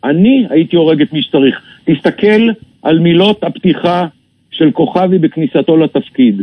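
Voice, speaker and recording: A man speaks fairly slowly in a high voice with lively intonation. His loudness stays very even. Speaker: retired army general. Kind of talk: radio interview. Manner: emphatic.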